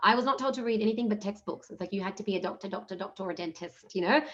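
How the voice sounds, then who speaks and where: With an Australian accent, a woman speaks very fast at medium pitch with lively intonation. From Australia, Punjabi-speaking Indian family. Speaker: entrepreneurship program manager, panelist. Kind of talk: panel discussion. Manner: fast, casual with fillers.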